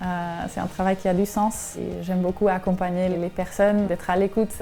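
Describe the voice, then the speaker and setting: Music plays behind a woman speaking. Her intonation stays flat and monotone. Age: 20s. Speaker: shelter reception worker. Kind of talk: interview.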